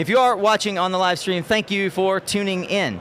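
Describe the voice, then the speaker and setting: Loud, fairly quick speech with noticeable background noise. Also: man. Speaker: conference livestream host. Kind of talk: live event interview hosting. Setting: live stage with audience at conference.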